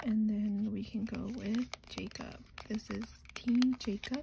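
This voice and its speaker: A soft-spoken woman with fairly even intonation. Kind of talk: soft-spoken ASMR makeup unboxing.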